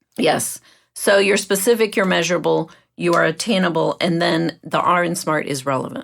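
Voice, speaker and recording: This woman, with a fairly low pitch and vocal fry, speaks at a moderate pace on a very clean recording with a silent background. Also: ordinary pitch variation. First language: not English. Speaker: mindset coach and podcast host. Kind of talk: podcast conversation.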